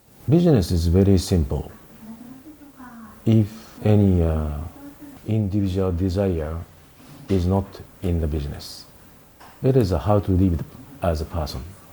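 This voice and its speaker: Speaking in a Japanese accent at a very deep, low pitch, a man talks at a moderate pace with long, frequent pauses over noticeable background noise. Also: ordinary pitch variation. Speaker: country manager of a tech company. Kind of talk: interview. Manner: halting.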